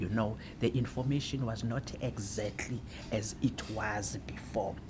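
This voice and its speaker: In a South African accent, a woman speaks at a fairly slow pace. Her voice is somewhat breathy. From South Africa, Eastern Cape (Alice). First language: Xhosa. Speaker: translator. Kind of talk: interview.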